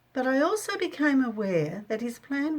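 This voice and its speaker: This woman has an Australian accent. Her pitch swings very widely. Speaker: missionary. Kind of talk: audiobook reading of own memoir.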